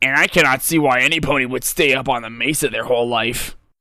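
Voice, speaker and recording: A man puts on a raspy character voice at medium pitch, talking at a very fast pace. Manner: flat.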